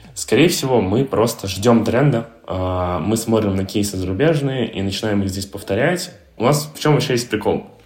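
The speaker keeps a moderate pace with ordinary pitch variation, and audible room echo can be heard. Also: man. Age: 20s. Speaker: co-founder of a digital marketing agency. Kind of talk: interview.

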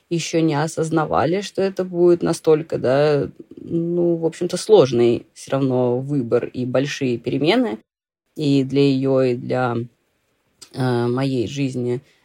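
A woman's dark, mellow tone with lively intonation at a very slow pace. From Russia, Saint Petersburg. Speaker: blogger and immigrant. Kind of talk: interview, casual chat.

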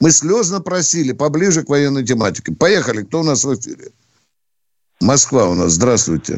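A man's vocal fry at a fairly high pitch for a man, a moderate pace with long, frequent pauses, and very wide pitch swings. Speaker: radio host, retired army colonel. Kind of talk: call-in radio show. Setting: studio. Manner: blunt, abrupt with callers.

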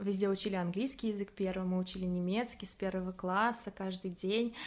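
This is an ordinary speaking voice. It moves at a moderate pace with fairly even intonation. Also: woman. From Russia, Samara. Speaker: photographer, former parliament staffer. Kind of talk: casual interview.

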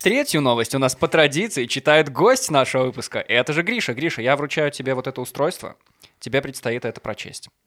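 A man with a normal speaking voice talks at a fairly high pitch. His pace is fairly quick, with ordinary pitch variation. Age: 20s. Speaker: podcast host. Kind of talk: casual chat; news reading.

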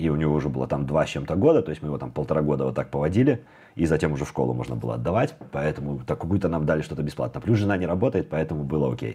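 Music plays in the background as a man speaks very fast. His voice is very deep and low, with lively intonation. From Belarus. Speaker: programmer. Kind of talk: casual interview chat.

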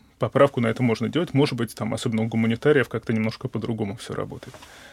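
A man's voice, dry and close with no echo. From Moscow, Russia. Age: 20s. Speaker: research scientist. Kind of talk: interview. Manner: hesitant, with many fillers.

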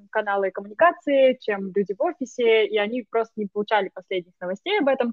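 Talking very fast, a woman keeps her voice at a fairly high pitch. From Russia, Moscow. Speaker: digital marketer. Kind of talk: casual conversation.

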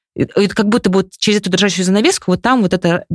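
A woman's plain, everyday voice at a medium pitch, with ordinary pitch variation. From Moscow region, Russia (Khimki). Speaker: communications director and amateur runner. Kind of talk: casual interview.

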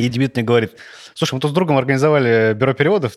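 This man's voice shows ordinary pitch variation. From Russia, Saint Petersburg. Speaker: art director. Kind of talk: casual chat.

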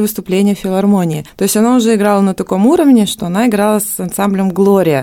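A woman of medium pitch with a dark, mellow tone, at a very fast pace with hardly any pauses and ordinary pitch variation. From Russian Far East (Ussuriysk, Khabarovsk). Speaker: violinist and ensemble director. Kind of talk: radio interview. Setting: radio studio.

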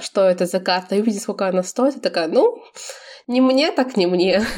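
At a fairly quick pace, a woman with a plain, everyday voice talks at a fairly high pitch with ordinary pitch variation. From Belarus. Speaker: podcast co-host. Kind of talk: casual chat.

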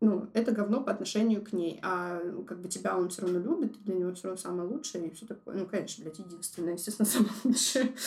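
A somewhat breathy woman at a fairly quick pace. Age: 20s. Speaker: designer sharing personal story. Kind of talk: personal testimony, casual.

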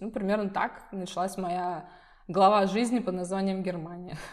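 A woman's medium-pitched voice at a moderate pace, with noticeable background noise. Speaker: visual designer. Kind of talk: interview. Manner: casual, with fillers.

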